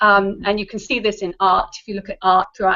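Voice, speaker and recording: This woman speaks in an English accent. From England. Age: adult. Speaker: actress. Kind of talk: interview. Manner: hesitant, many fillers.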